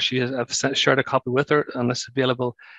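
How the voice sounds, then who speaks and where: A man's voice with a Northern Irish accent, in a dry, close sound with no echo. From Northern Ireland. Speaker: brain injury charity former director and survivor. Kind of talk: webinar presentation. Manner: fast.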